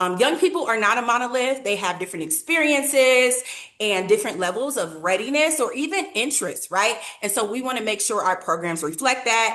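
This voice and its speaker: A woman speaks with very wide pitch swings over noticeable background noise. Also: fairly high pitch for a woman, fairly quick pace. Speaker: nonprofit program leader. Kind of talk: webinar presentation.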